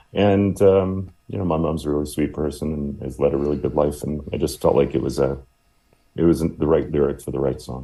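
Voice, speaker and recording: A man with a very deep, low pitch talks at a fairly quick pace and with fairly even intonation while music plays in the background. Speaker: rock band singer and songwriter. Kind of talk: radio interview.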